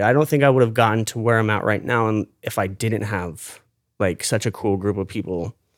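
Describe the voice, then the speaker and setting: A man with an American accent and medium pitch talks at a fairly quick pace in a very clean recording with a silent background. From Florida, St. Petersburg. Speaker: ocean activist and social media creator. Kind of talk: casual interview. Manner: animated, expressive.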